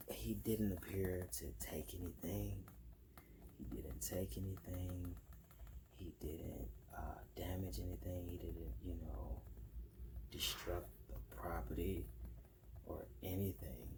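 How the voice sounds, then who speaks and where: A soft-spoken man with a very deep, low pitch and vocal fry talks in a relaxed tone, his pitch swinging very widely. His pace is very slow, with long, frequent pauses. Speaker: ASMR content creator. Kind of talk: soft-spoken ASMR ramble to camera. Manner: soft-spoken, relaxed.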